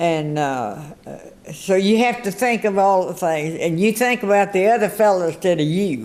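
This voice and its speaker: A woman with a Texan accent, medium in pitch, with lively intonation, very even loudness and a moderate pace. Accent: Texan Southern. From US South, northeast Texas. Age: 80s+. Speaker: centenarian interviewee. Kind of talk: radio interview.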